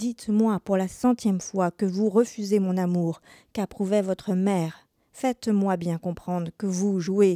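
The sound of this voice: An unforced reading voice with fairly even intonation comes over a quiet background.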